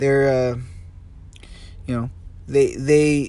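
This man talks fairly slowly in a fairly high pitch. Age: 20s. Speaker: solo podcaster. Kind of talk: casual monologue. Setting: in a car. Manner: halting, many fillers and repetitions.

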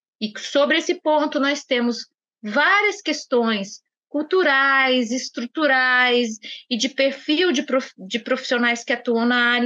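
A woman's high-pitched, raised and projected voice, bright and sharp in tone, with lively intonation at a very slow pace. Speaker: judge. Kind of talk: podcast interview.

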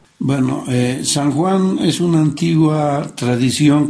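A man talks at a very slow pace with ordinary pitch variation. Room echo is audible. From Bolivia, La Paz. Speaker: interviewee. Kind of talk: interview.

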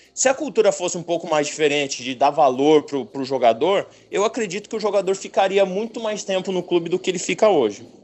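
Using a high pitch and lively intonation, a man talks with hardly any pauses. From Paraná, Brazil (gaúcho family). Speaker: professional football goalkeeper. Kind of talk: casual interview chat. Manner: halting, many repetitions.

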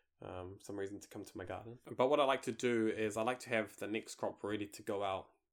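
Talking at a very fast pace with fairly even intonation, a man with a New Zealand accent comes through on a very clean recording with a silent background. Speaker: gardening podcast host. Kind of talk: casual chat.

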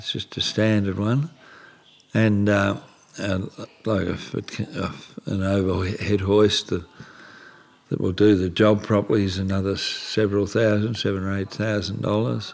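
Pausing long and often, a man with an Australian accent speaks at a fairly low pitch. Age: 70s. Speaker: retired antique dealer with motor neurone disease. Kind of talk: interview.

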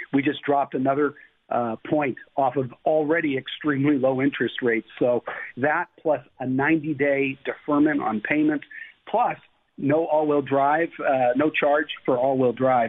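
A man's fairly high-pitched, an ordinary speaking voice at a moderate pace, with very even loudness. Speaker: automaker executive. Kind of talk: radio interview.

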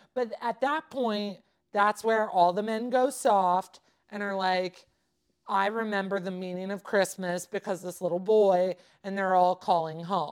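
A woman speaks at a medium pitch with a Californian accent, her tone animated. She talks at a fairly slow pace on a very clean recording with a silent background. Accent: Californian American. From Southern California. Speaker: podcast co-host. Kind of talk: casual chat.

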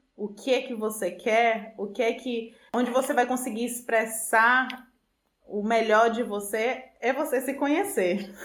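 A woman at a fairly high pitch and a fairly slow pace, with ordinary pitch variation and audible room echo. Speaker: food engineer. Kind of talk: interview.

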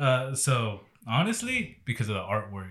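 A man with a Texan accent is heard in a very clean recording with a silent background. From Texas. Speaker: podcast host. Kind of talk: casual chat.

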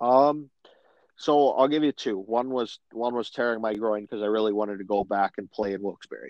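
A man's normal speaking voice with an American accent, at medium pitch, ordinary pitch variation and a fairly quick pace. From Macomb, Michigan. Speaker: pro hockey player. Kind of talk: casual interview.

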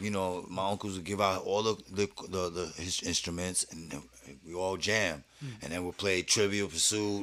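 A man with a New York accent, very deep and low in pitch, at a moderate pace with fairly even intonation. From New York, Brooklyn. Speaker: rapper. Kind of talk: casual chat.

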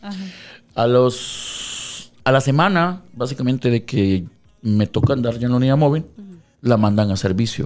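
A plain, everyday voice from a man, moderate in pace and medium in pitch, with lively intonation. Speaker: radio DJ. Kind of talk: casual interview. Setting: radio studio.

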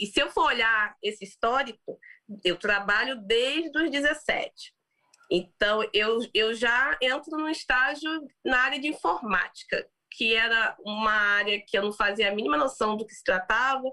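The tone is bright and sharp, with lively intonation and big swings in loudness. The pace is fairly slow. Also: woman. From Brazil. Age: 30s. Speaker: business executive and founder. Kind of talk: interview.

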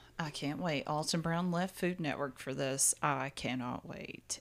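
A woman with a Southern US accent speaks at a fairly slow pace in a very deep, low pitch, with vocal fry and fairly even intonation. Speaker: podcast co-host. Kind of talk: casual chat.

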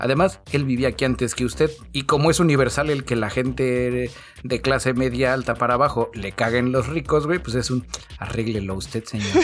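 A man with a Mexican accent speaks at a fairly quick pace. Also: medium pitch for a man, ordinary pitch variation. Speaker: podcast co-host. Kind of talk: casual chat. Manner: animated.

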